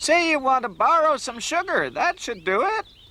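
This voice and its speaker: At a moderate pace, a cartoonish character voice speaks at a high pitch. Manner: fussy, proper.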